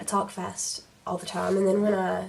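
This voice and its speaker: A woman is speaking. Noticeable background noise sits under her voice. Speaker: beauty youtuber. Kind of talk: makeup tutorial chat.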